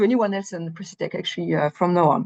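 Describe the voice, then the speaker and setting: Talking at a very fast pace, a woman uses lively intonation over a quiet background. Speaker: company presenter at industry webinar. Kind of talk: technical presentation. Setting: online meeting.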